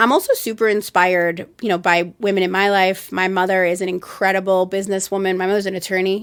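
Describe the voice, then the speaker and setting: A woman's medium-pitched voice at a very fast pace, with hardly any pauses. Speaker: marketing agency founder and CEO. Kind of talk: podcast interview. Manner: loud; animated.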